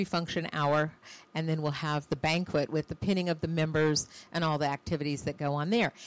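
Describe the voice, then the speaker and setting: A woman speaks at a very deep, low pitch. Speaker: women's organization leader. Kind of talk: interview. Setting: studio.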